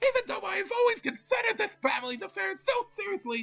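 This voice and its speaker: A put-on character voice rattles along at a very fast pace. Its pitch is high. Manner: angry, complaining.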